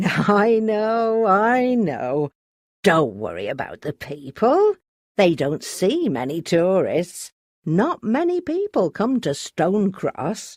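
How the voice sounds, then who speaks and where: A woman puts on a character voice at a medium pitch, swinging very widely up and down. She speaks at a very slow pace against a quiet background. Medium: read story. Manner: chatty, laughing.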